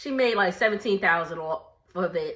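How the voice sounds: In an American accent, a woman speaks at a medium pitch with a fairly bright tone.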